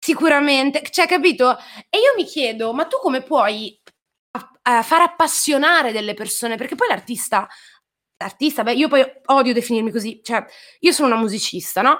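Using lively intonation and a high pitch, a woman talks at a moderate pace with long, frequent pauses. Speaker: singer-songwriter. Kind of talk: interview. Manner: talkative.

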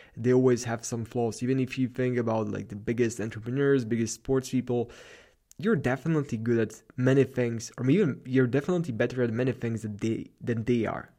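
A man speaks with a Slavic accent at a fairly quick pace. His medium-pitched voice has a dark, mellow tone. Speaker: podcast host, productivity and self-improvement. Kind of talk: solo monologue, motivational talk. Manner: animated, hyped, motivational.

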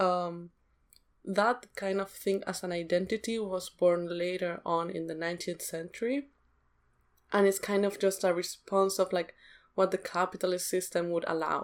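A woman speaks in a non-native accent at a medium pitch. Her intonation is fairly even. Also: moderate pace. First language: not English. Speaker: podcast co-host. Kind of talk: casual discussion.

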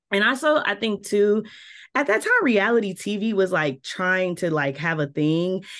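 A woman speaks with a slight Southern US accent. Her intonation is lively. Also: medium pitch for a woman, moderate pace. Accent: slight Southern twang at times. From Milwaukee, US Midwest. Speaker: PR and communications director. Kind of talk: interview. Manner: animated.

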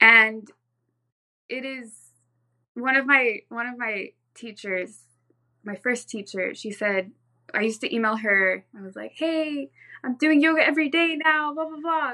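The tone is bright and sharp, with big swings in loudness, long, frequent pauses and a fairly slow pace. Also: woman, high pitch for a woman. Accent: American. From Southern California. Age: 20s. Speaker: yoga practitioner and real estate agent. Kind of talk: interview conversation.

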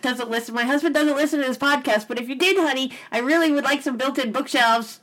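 A woman talks at a very fast pace with a high pitch and ordinary pitch variation. Noticeable background noise can be heard. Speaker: podcast host. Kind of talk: casual chat. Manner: laughs often.

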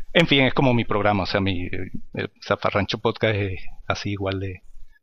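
Fairly low male voice with ordinary pitch variation, at a moderate pace. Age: 50s. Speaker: podcaster and maintenance technician. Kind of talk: interview. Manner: halting.

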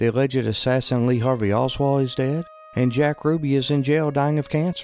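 Music plays in the background as a man speaks fairly quickly at a medium pitch with ordinary pitch variation. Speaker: podcast host. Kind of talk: scripted narration of history. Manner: measured, formal.

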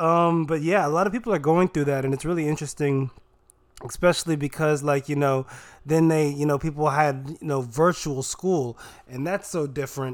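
A man with an unremarkable speaking voice and fairly high pitch moves at a fairly quick pace, with ordinary pitch variation. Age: 20s. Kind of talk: casual chat.

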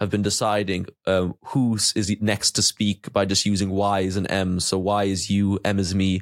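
In a dry, close recording with no echo, a man speaks in a fairly low, monotone, flat voice. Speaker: student podcast host. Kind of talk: casual interview. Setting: video call.

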